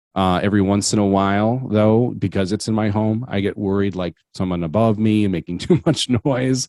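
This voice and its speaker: On a very clean recording with a silent background and a dry, close sound free of echo, a man with a Wisconsin accent shows ordinary pitch variation. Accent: Wisconsin accent, noticeable. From Wisconsin, Manitowoc area. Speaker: podcast host. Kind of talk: casual interview as guest. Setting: home basement studio. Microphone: good mic and headset.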